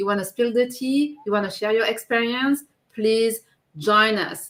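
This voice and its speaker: A woman's fairly high voice with a bright, sharp tone, a strong French accent, and a moderate pace. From France. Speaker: live show co-host and business owner. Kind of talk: casual live chat.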